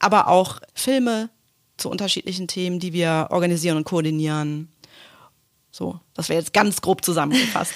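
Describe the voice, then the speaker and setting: Moderate pace, ordinary pitch variation, and long, frequent pauses. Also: woman, fairly low pitch for a woman, very clean recording, silent background. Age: 40s. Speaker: corporate communications manager. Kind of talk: casual interview. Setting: office.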